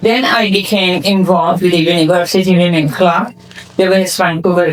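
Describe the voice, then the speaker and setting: Someone with a Persian accent speaks at a moderate pace amid noticeable background noise. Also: woman. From Iran. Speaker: community foundation founder. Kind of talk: award acceptance speech.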